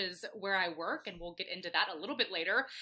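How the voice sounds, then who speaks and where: Speaking at a very fast pace, a woman with an American accent has an animated tone. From US South, Atlanta, Georgia. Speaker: brewery events coordinator. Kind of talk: casual chat. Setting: video call.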